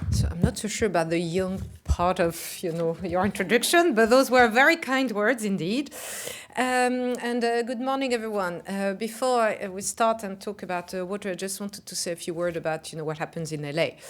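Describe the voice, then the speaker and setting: Speaking fairly quickly, a woman has a French accent. Her intonation is lively. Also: medium pitch for a woman. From France. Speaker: global company CEO. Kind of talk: conference speech. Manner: halting, many fillers.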